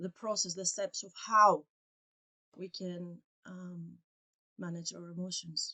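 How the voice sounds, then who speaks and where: With a Greek accent, a woman of medium pitch speaks at a fairly slow pace in a monotone, flat intonation, with big swings in loudness and long, frequent pauses. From Greece. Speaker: English teacher and coach. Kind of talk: casual podcast conversation. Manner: halting, searching for words.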